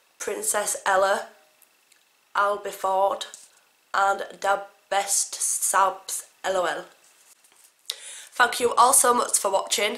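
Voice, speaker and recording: Spoken at a very slow pace with an English accent, the voice stays flat and monotone, broken by long, frequent pauses. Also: woman, medium pitch for a woman. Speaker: family vlogger. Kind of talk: casual vlog.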